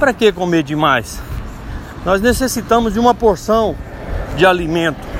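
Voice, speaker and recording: A man with high pitch and lively intonation speaks at a moderate pace with very even loudness and long, frequent pauses, against noticeable background noise. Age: 40s. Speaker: lay preacher. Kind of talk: devotional talk. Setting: outdoors, walking.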